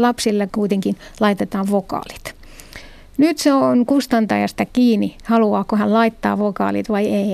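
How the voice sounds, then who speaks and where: This woman's voice sits fairly high. She keeps a moderate pace, and her pitch shifts in an ordinary way. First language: Arabic (Moroccan) (speaking Finnish). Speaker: literary translator. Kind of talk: interview.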